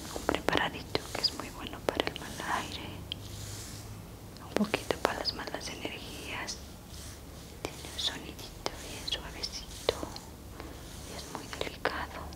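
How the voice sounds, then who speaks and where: A woman is whispering. She leaves long, frequent pauses. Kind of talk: soft-spoken ASMR narration. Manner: soft hushed ASMR murmur. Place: home room. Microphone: lapel.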